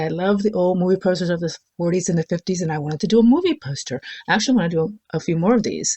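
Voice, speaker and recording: Talking at a very fast pace, a woman uses a somewhat breathy voice with medium pitch and ordinary pitch variation. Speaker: spiritual content creator. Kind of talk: unscripted talk to camera. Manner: slurred words; casual, rambling with fillers.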